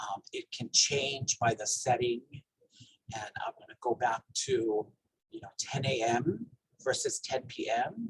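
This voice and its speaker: At a fairly slow pace, a man speaks in a Hawaiian accent, the sound dry and close with no echo. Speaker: health educator. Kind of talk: training presentation.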